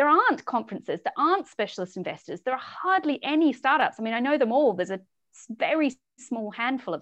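With a New Zealand accent, a woman talks at a very fast pace in a high pitch with very wide pitch swings. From New Zealand, rural South Island. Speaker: startup founder and CEO. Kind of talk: interview.

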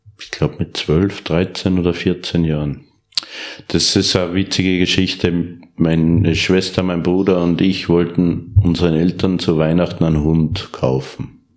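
With an Upper Austrian accent, a man talks at a fairly slow pace, his very deep, low pitch staying monotone and flat. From Upper Austria (Steyr). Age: 40s. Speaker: professional horse trainer and reining rider. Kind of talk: interview.

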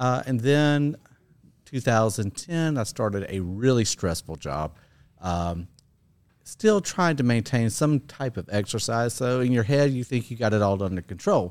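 A normal speaking voice from a man of medium pitch, fairly slow and with lively intonation, in a very clean recording with a silent background. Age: 50s. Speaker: gym client sharing fitness journey. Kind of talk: interview.

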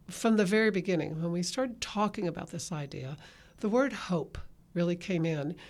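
A woman speaks with a Texan accent on a very clean recording with a silent background. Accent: Texan Southern US. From Texas. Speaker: podcast host, parenting ministry leader. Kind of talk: casual chat. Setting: studio.

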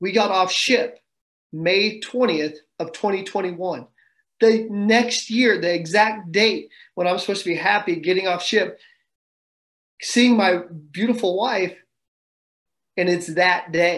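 Speaking at a very slow pace with long, frequent pauses, a man with a high voice and a Midwestern American accent uses ordinary pitch variation against a quiet background. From Kansas. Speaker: Marine staff sergeant. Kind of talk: interview testimony.

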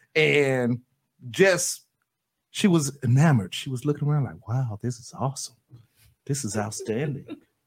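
Somewhat breathy and medium in pitch, a man speaks at a moderate pace with lively intonation, long, frequent pauses and big swings in loudness. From Florida. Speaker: radio co-host and company owner. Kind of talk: casual radio chat.

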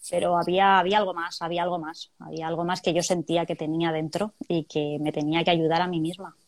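At a fairly quick pace, a woman with a fairly low pitch talks in a monotone, flat intonation. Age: 40s. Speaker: chemical plant worker. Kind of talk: testimony. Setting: video call.

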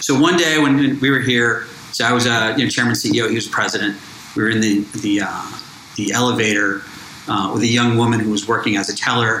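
Someone with an American accent talks at a fairly quick pace, with long, frequent pauses and ordinary pitch variation. Noticeable background noise and audible room echo are present. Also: man, medium pitch for a man. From Miami, Florida. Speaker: bank founder and entrepreneur. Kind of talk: interview.

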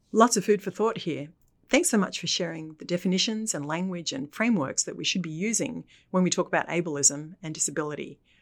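A plain, everyday voice at a fairly quick pace, with big swings in loudness and lively intonation, on a very clean recording with a silent background. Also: woman, fairly low pitch for a woman. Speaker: podcast host. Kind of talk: interview podcast intro and discussion.

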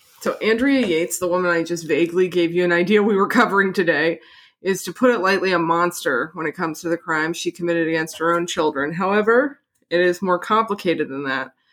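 A woman's fairly low voice at a very fast pace, on a very clean recording with a silent background. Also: ordinary pitch variation. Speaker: podcast host. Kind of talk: casual chat with scripted true-crime narration. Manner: joking, bantering.

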